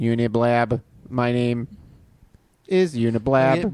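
A man's put-on character voice at a medium pitch, delivered at a fairly slow pace. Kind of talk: robotic.

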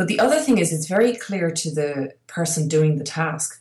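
A somewhat breathy woman's voice at a fairly low pitch. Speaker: podcast co-host and entrepreneur. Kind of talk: casual conversational podcast chat. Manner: fast talker.

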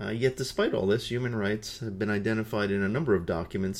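A man's fairly low-pitched, unremarkable speaking voice with ordinary pitch variation. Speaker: podcast host and peace educator. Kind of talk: solo educational podcast talk. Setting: indoor room with nearby highway traffic noise.

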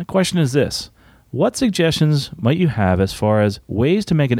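With a slightly mellow tone, a man speaks at a medium pitch that makes big swings.

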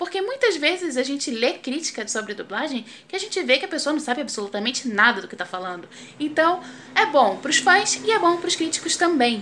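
A woman's raised, projected voice, high in pitch with very wide pitch swings, at a fairly quick pace over noticeable background noise. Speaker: professional voice actress. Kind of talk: casual video segment. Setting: video recording. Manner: casual.

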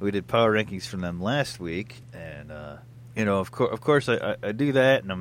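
On a very clean recording with a silent background, a man with a normal speaking voice talks at a fairly quick pace and fairly low pitch, with ordinary pitch variation. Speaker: sports podcast host. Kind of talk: casual sports banter. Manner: filler-heavy, conversational.

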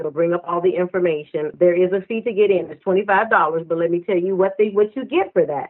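This is a normal speaking voice at a fairly quick pace. Its intonation stays fairly even. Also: woman. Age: 50s. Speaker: minister and author. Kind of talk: interview.

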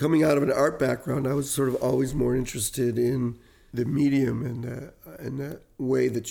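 With an American accent, a man speaks at a moderate pace and medium pitch in a dark, mellow tone. His intonation is fairly even, with vocal fry. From US Midwest (Detroit). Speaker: cinematographer. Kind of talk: interview. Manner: halting.

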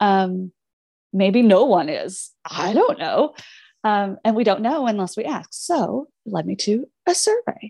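In an American accent, a woman talks with lively intonation, a fairly high pitch and a dark, mellow tone. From Southern Indiana, near Louisville. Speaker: music therapist and researcher. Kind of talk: interview. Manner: animated.

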